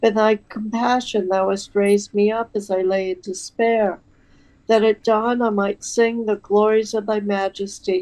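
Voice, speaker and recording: A woman speaks at a medium pitch in a flat, monotone delivery. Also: fairly slow pace. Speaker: prayer reader. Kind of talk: liturgical prayer reading. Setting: online video stream.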